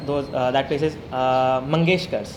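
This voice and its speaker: An Indian accent comes through with audible room echo and noticeable background noise. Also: man. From South Goa, India. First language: Konkani. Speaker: interview guest. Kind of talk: casual chat. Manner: animated.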